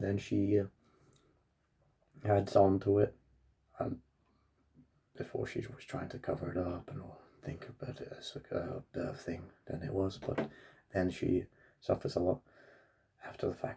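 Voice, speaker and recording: With long, frequent pauses and big swings in loudness, a man speaks in a dark, mellow, somewhat breathy tone with ordinary pitch variation. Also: moderate pace. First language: Russian. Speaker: book reviewer. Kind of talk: casual book review monologue. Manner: halting, with many fillers and restarts.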